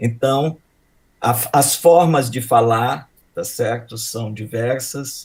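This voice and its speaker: This very clean recording with a silent background captures a man's somewhat breathy voice at a medium pitch. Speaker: professor. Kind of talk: introduction speech.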